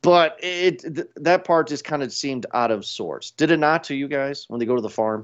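He has a plain, everyday voice, pitched fairly high for a man with ordinary pitch variation. This man speaks at a moderate pace with hardly any pauses. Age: 30s. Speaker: podcast host. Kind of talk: casual chat.

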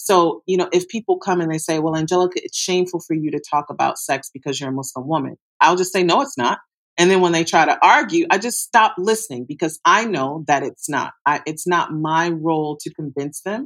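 An unremarkable speaking voice from a woman, fairly low in pitch, with lively intonation, a fairly quick pace and hardly any pauses. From US Midwest, Detroit. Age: 40s. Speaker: sex educator. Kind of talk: interview.

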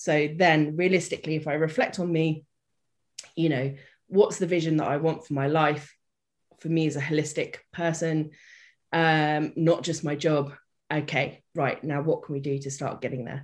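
A woman with a British accent and a very deep, low pitch, at a moderate pace, in a very clean recording with a silent background. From Britain. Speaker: development worker and life coach. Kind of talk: casual interview chat. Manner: chipper, bubbly.

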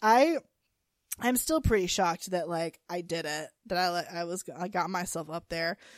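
A woman's plain, everyday voice with an American accent at a moderate pace, on a very clean recording with a silent background. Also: fairly low pitch for a woman, ordinary pitch variation. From North Carolina. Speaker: podcast co-host. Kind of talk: casual chat.

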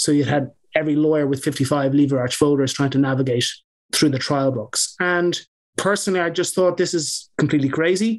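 Pitched fairly high, a man speaks at a fairly quick pace with ordinary pitch variation. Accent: Irish. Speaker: barrister and legal tech founder. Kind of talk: interview.

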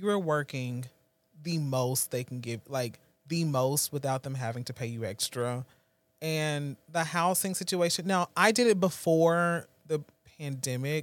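In a very clean recording with a silent background, a man speaks fairly slowly with fairly high pitch and ordinary pitch variation. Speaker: friend. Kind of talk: casual chat. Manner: animated.

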